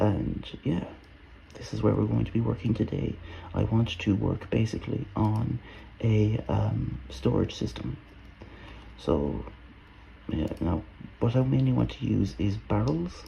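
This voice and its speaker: Very deep and low in pitch, a man speaks at a fairly slow pace with very wide pitch swings and long, frequent pauses. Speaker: gaming video creator. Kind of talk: let's play commentary. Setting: at home. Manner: quiet, soft-spoken; hesitant, many fillers.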